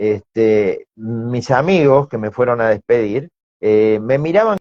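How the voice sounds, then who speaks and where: Speaking very slowly with an Argentine accent, a man uses lively intonation in a dry, close sound with no echo. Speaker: sales expert, business owner. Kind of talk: interview.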